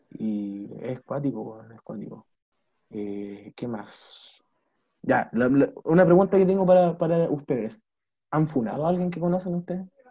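A somewhat breathy, dark and mellow male voice, fairly high in pitch, with very wide pitch swings, big swings in loudness and a fairly slow pace. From Chile, La Serena. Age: 20s. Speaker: podcast host, student. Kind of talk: casual chat.

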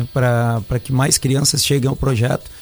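Medium-pitched male voice at a moderate pace with fairly even intonation, over noticeable background noise. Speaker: surf school instructor. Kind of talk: radio interview.

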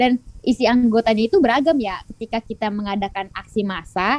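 Recorded with a dry, close sound and no echo, a woman speaks at a fairly high pitch. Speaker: law student activist. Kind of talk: casual chat.

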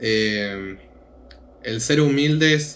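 Audible room echo surrounds a man who talks with ordinary pitch variation. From Argentina. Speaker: returned missionary, student. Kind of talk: casual chat.

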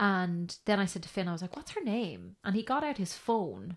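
A woman with an Irish accent speaks at a moderate pace. The background is quiet. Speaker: mother sharing her birth story. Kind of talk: casual interview chat.

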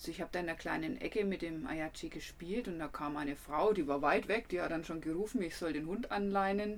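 A fairly quick woman's voice, fairly low in pitch with ordinary pitch variation. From Franconia, Germany. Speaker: travel podcaster and photographer. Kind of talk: casual travel storytelling.

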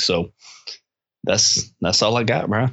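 A plain, everyday voice with fairly even intonation. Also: man. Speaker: podcast co-host. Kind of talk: casual interview chat.

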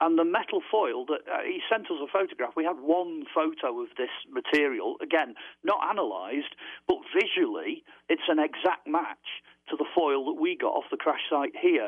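With a British accent, the man talks at a moderate pace. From UK. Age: 60s. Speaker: author and UFO researcher. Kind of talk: radio interview.

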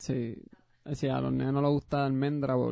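This man's voice sits at a fairly high pitch and moves at a moderate pace. His intonation stays fairly even. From Puerto Rico. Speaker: podcast co-host. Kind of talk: casual chat.

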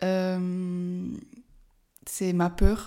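A woman's dark, mellow tone comes through a very clean recording against a silent background. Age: 20s. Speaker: life coach and podcaster. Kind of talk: casual solo monologue. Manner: halting, many hesitations.

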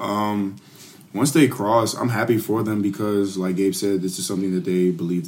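This man has an unremarkable speaking voice, fairly low in pitch with ordinary variation. He talks at a fairly quick pace. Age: 20s. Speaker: podcast co-host. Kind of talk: casual chat.

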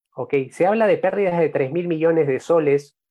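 In an ordinary speaking voice, a man talks at a fairly slow pace with ordinary pitch variation. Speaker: journalist, podcast host. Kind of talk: interview.

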